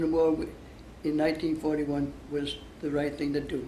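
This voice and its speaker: With audible room echo, a man speaks at a fairly quick pace in a fairly high pitch, his tone dark and mellow. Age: 80s+. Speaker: war veteran. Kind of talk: interview. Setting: interview for a school project. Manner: halting.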